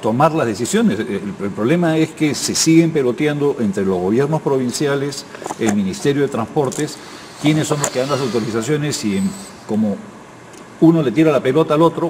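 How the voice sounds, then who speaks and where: A man's fairly high voice with lively intonation at a moderate pace, against noticeable background noise. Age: 60s. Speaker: political commentator. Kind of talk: panel discussion.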